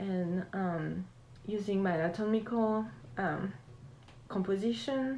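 A woman with a French accent at a fairly slow pace, medium in pitch with ordinary variation, and with long, frequent pauses. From France, Alsace near German border. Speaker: painter and collage artist. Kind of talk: interview.

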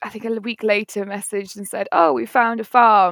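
A woman speaks with an East Midlands accent at a fairly high pitch. The recording is very clean, with a silent background and a dry, close sound free of echo. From Nottingham, England. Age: 20s. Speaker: waitress and former fruit picker. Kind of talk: casual interview.

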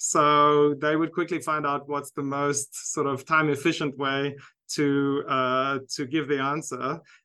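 A man with a South African accent speaks in a bright, sharp tone at a fairly high pitch. His delivery is fairly slow and monotone, flat, over a quiet background. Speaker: university lecturer and researcher. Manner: hesitant, many fillers.

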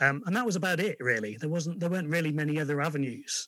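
A man's bright, sharp voice at a fairly quick pace, with ordinary pitch variation, on a very clean recording over a silent background. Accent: English. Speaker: indie record label collaborator. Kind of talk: interview. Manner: hesitant, many fillers.

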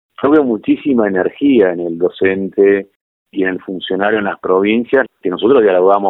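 A man with a normal speaking voice talks at a moderate pace and a fairly low pitch. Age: 60s. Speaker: foundation executive director. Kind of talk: interview.

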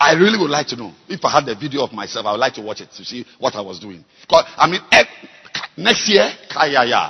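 Speaking at a fairly quick pace in a fairly high pitch, a man uses very wide pitch swings, big swings in loudness and an animated tone over noticeable background noise. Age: 50s. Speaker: bishop preacher. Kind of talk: sermon. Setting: church.

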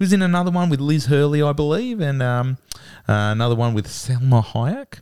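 Talking at a fairly quick pace, a man with an Australian accent has a fairly high pitch and lively intonation. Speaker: podcast co-host.

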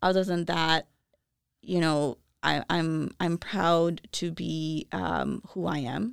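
A woman's fairly low voice in a Chicago accent, very slow in pace, with ordinary pitch variation and a very clean recording over a silent background. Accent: Chicago American English. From Chicago, US Midwest. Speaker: professor. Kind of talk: casual interview. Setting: studio. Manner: hesitant, many fillers.

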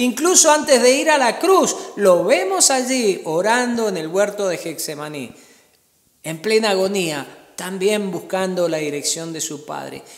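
Someone speaks in a Cuyo Argentine accent with a warm tone at a fairly slow pace. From Argentina. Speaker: pastor. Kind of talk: sermon. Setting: church service streamed during pandemic. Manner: earnest, warm pastoral tone, teaching and exhorting.

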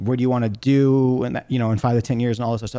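An unremarkable speaking voice from a man, medium in pitch with fairly even intonation, in a very clean recording with a silent background. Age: 30s. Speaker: podcast host and certified athletic trainer. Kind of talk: solo podcast monologue. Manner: casual, with many fillers.

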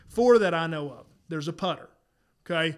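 At a fairly quick pace, a man with a Southern US accent speaks in a fairly high pitch over a silent background in a very clean recording. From South Carolina. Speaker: podcast co-host, disc golfer. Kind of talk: casual chat. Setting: studio.

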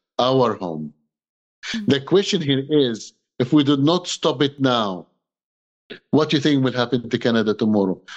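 Using lively intonation, a man with a medium pitch talks at a moderate pace and takes long, frequent pauses. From Egypt. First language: Arabic. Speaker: human rights activist and pastor. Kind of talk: interview on video call. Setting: video call. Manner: impassioned.

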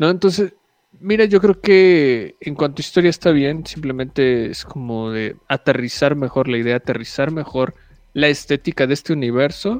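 A man speaks in a plain, everyday voice with a fairly high pitch and lively intonation. His pace is moderate, and the sound is dry and close with no echo. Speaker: podcast co-host. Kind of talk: casual chat.

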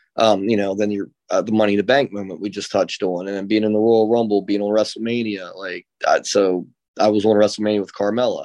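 Over a quiet background, a man with a fairly low pitch talks at a very fast pace in a monotone, flat intonation. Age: 30s. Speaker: professional wrestler. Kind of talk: interview. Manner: halting, many fillers.

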